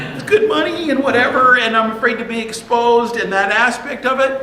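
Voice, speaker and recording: A man's extremely high, raised and projected voice comes across animated at a moderate pace, with audible room echo and noticeable background noise. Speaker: pastor. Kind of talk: sermon. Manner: loud.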